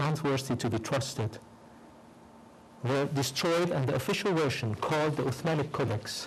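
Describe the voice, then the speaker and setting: In a room with audible echo, a man with a non-native accent talks at a moderate pace in a fairly high, somewhat breathy voice, his intonation lively and his loudness very even. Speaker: professor. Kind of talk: lecture. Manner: reading a prepared text.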